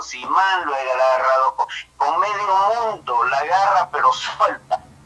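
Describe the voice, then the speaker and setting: A man's fairly slow speech over noticeable background noise. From El Salvador. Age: 70s. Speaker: caller. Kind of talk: political commentary call-in. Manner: halting.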